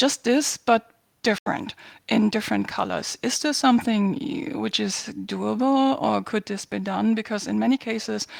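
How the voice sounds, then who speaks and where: A woman in a German accent, moderate pace, dry, close sound with no echo. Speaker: community member asking questions. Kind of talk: question to host.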